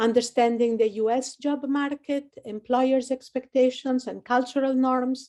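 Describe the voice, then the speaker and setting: Speaking fairly slowly, this woman has a high pitch, a dark, mellow tone and fairly even intonation. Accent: Italian. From Italy, Rome. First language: Italian. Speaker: career services advisor. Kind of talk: webinar presentation.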